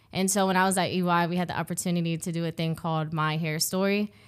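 Using monotone, flat intonation, a woman with an American accent talks at a very fast pace. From Ohio, US Midwest. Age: 20s. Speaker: accountant, consultant. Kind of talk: casual interview.

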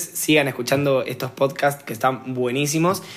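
In a Rioplatense accent, a man speaks with fairly even intonation over noticeable background noise. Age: 20s. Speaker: poet. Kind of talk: casual conversation.

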